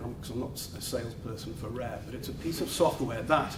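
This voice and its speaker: Over noticeable background noise and audible room echo, a man with a northern English accent talks at a medium pitch with ordinary pitch variation. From northern England. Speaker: law firm office head. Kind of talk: welcome speech. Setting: office event with live audience.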